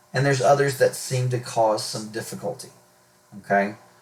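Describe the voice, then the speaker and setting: In a somewhat breathy voice, a man speaks at a medium pitch with ordinary variation. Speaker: math teacher. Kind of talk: recorded video lesson. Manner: stutters today, fillers.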